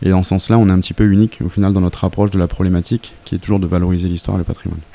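A man with a very deep, low pitch and a dark, mellow tone speaks at a very fast pace. His intonation is monotone and flat. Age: 30s. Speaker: startup founder. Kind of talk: interview.

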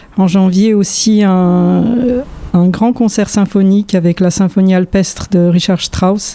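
Over noticeable background noise, a woman speaks very slowly at a medium pitch with fairly even intonation. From Poland (Warsaw). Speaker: orchestral violinist. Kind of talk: interview monologue. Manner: halting.

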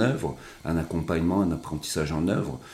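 A man's voice sits very deep and low, with ordinary pitch variation. His tone is dark and mellow. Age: 40s. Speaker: social educator, association head. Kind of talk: interview.

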